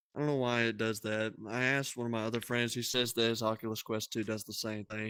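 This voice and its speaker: At a very fast pace and with hardly any pauses, a man speaks at medium pitch in a bright, sharp tone with flat, monotone intonation. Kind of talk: casual chat. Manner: loud; soft-spoken.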